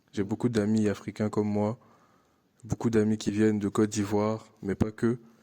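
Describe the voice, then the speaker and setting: With an Ivorian accent, a man speaks at a moderate pace in a fairly low pitch, his intonation monotone and flat, the sound dry and close with no echo. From Ivory Coast. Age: 20s. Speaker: international student. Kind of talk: interview testimony. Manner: hesitant, many fillers and repetitions.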